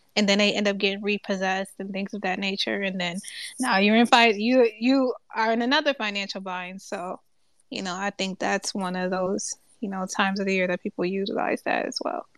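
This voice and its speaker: With a plain, everyday voice, a woman of medium pitch speaks at a fairly quick pace and ordinary pitch variation, in a dry, close sound with no echo against a quiet background. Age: 20s. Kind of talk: casual chat. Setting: Twitter Space audio room.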